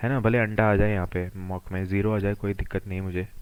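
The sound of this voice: At a fairly quick pace, a man speaks with little pitch movement.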